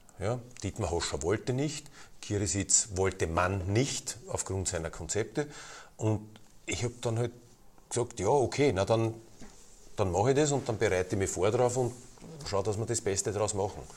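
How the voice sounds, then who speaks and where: Somewhat breathy and fairly low-pitched, a man talks at a moderate pace with ordinary pitch variation and long, frequent pauses. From Lower Austria, near Vienna. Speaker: football club president. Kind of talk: interview.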